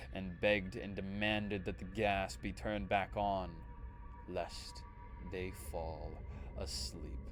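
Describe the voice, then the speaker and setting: A man speaks with a very deep, low pitch and lively intonation. Music plays in the background. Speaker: streamer reading creepypastas. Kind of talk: horror story narration.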